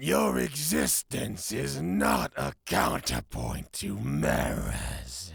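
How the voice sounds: A man puts on a character voice at a medium pitch, speaking very slowly with vocal fry and very wide pitch swings.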